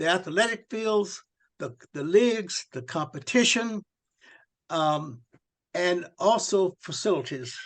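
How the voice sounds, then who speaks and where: Over a quiet background, a man with an American accent talks very slowly at a high pitch, his intonation lively, his loudness swinging widely and his pauses long and frequent. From Texas. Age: 80s+. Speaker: retired school administrator. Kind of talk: interview. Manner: halting, many fillers.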